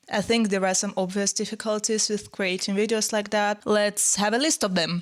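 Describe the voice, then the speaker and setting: A woman talks with a non-native accent. Her pitch variation is ordinary and her loudness very even. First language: not English. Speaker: pianist and music content creator. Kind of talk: music tutorial commentary. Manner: casual, informal.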